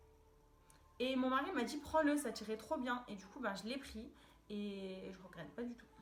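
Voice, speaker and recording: Noticeable background noise and audible room echo surround a woman whose fairly high voice has lively intonation. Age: 20s. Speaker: fashion vlogger. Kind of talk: haul video, casual. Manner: hesitant, many fillers; enthusiastic.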